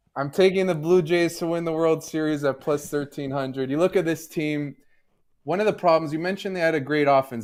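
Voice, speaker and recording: A man with a slight Canadian accent speaks with ordinary pitch variation. The recording is very clean, with a silent background. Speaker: sports betting analyst. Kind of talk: podcast discussion.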